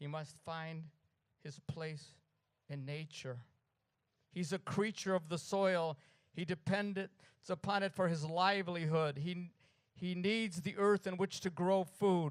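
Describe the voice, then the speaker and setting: A man with an American accent, high pitch, fairly even intonation, a fairly slow pace and long, frequent pauses. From New York. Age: 70s. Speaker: poet. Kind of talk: poetry reading. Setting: art gallery event with audience.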